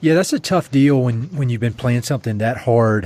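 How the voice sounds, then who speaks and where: A man speaks at a fairly quick pace with ordinary pitch variation in a plain, everyday voice. The recording is very clean, with a silent background. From US South, eastern North Carolina. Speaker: podcast host. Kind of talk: podcast interview. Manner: casual.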